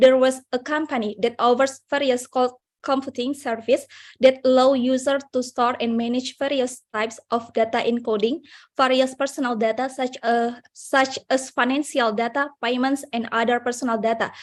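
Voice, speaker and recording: A high-pitched female voice with an Indonesian accent, monotone and flat, at a moderate pace on a very clean recording with a silent background. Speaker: conference participant. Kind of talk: audience question. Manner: halting.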